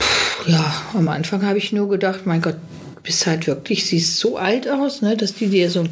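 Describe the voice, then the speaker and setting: A woman with a medium pitch talks at a moderate pace, and noticeable background noise can be heard. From western Germany, Witten/Herdecke area. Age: 60s. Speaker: caterer. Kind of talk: casual chat. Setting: studio.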